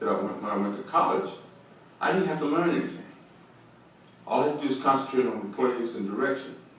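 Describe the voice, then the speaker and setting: In an American accent, a man talks at a very fast pace with lively intonation, amid audible room echo and noticeable background noise. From Bakersfield, California. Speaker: former pro football player. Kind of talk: interview.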